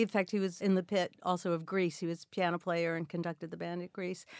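On a very clean recording with a silent background and a dry, close sound with no echo, a woman has an unremarkable speaking voice, medium in pitch with fairly even intonation. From Queens, New York. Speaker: actress and singer. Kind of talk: interview.

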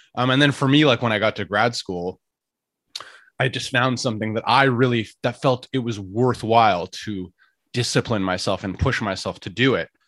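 On a very clean recording with a silent background, a man with a Canadian accent and an unremarkable speaking voice talks at a moderate pace with medium pitch and ordinary pitch variation. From Canada, Ottawa. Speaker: podcaster. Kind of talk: casual chat.

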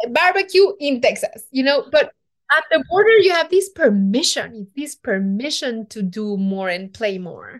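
A woman with a Mexican accent speaks at a high pitch, her voice swinging very widely in pitch. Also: moderate pace. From Mexico City, Mexico. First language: Spanish. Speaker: chef and TV cooking show host. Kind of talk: interview conversation.

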